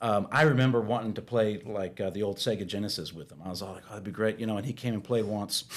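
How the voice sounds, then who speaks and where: Through noticeable background noise, a man with a fairly low pitch talks at a very fast pace, his loudness swinging widely. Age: 40s. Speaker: guest on faith podcast, pastor's son. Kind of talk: casual chat. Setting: podcast studio. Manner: halting, many fillers and repeats.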